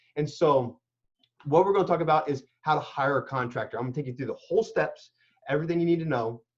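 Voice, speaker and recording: Somewhat breathy, a man speaks very fast at a fairly high pitch. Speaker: construction and renovation expert. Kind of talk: interview. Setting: live video call. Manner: animated.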